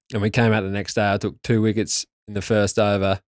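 A man with an Australian accent speaks at a fairly quick pace in a monotone, flat intonation. The sound is dry and close with no echo, in a very clean recording with a silent background. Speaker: former test cricketer. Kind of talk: interview. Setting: studio.

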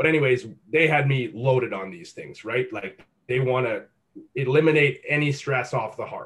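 A man with a normal speaking voice, fairly high in pitch, talking at a moderate pace. His pitch varies in an ordinary way while his loudness swings widely. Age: 20s. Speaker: fitness coach. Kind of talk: casual chat.

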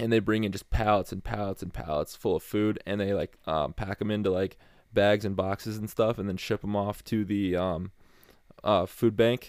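Recorded very cleanly over a silent background, a man speaks at a moderate pace in a fairly low pitch with fairly even intonation. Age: 20s. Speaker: college student athlete. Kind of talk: casual interview chat. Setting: home basement studio. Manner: halting, many fillers.

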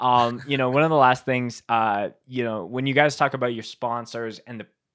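A normal speaking voice from a man, medium in pitch with fairly even intonation, on a very clean recording with a silent background. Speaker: podcast host and show filmer. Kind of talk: casual chat interview.

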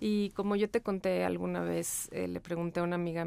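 In a very clean recording with a silent background, a woman talks in a plain, everyday voice with fairly even intonation. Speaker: podcast co-host. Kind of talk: casual chat.

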